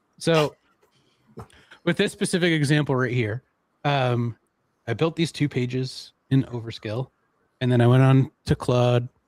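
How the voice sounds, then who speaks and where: Pausing long and often, a man speaks at a fairly slow pace and a medium pitch with ordinary pitch variation, in a dry, close sound with no echo. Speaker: software trainer. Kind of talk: casual chat. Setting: livestream.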